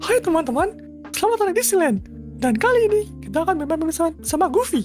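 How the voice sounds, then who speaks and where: Squeaky and at an extremely high pitch, a man's put-on character voice moves at a fairly quick pace over clear music in the background. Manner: cheerful.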